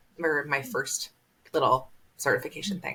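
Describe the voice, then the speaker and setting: A woman's very deep, low voice with an American accent. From US Midwest. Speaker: doula sharing her birth story. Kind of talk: podcast interview, personal testimony.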